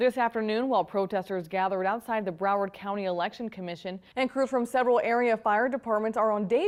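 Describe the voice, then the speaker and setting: Speaking at a fairly quick pace, a woman has a fairly high pitch, an unremarkable speaking voice and ordinary pitch variation. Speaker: TV news anchor and reporter. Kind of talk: studio news anchor desk read.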